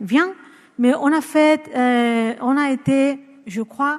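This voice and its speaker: A woman with a Spanish accent and ordinary pitch variation. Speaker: psychologist and researcher. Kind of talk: conference talk. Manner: halting, many hesitations.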